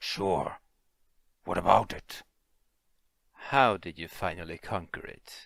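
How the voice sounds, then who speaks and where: A man performs in a put-on character voice. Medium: read story.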